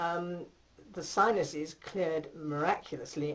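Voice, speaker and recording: This woman speaks at a fairly slow pace with fairly even intonation. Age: 60s. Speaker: patient. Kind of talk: testimony. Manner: hesitant, many fillers.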